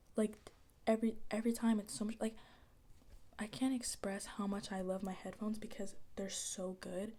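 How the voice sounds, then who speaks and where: Soft-spoken and somewhat breathy, a woman talks with fairly even intonation at a fairly high pitch. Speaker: ASMR creator. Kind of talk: casual soft-spoken ASMR talk to camera.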